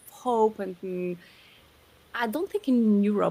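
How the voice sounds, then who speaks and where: A woman speaks in a French accent. Her pitch is medium, with ordinary variation. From southern France. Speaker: podcast co-host. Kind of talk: casual chat.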